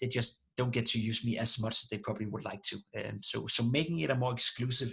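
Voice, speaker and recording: A man with a non-native accent talks at a very fast pace in a bright, sharp tone with vocal fry. His intonation stays fairly even. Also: medium pitch for a man. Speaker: esports analyst and streamer. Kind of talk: interview. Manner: halting with many repetitions.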